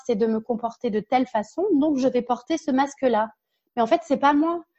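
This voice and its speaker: A woman speaks in a high pitch with a dark, mellow tone. The background is quiet. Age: 30s. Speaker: workplace happiness consultant and speaker. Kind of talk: interview.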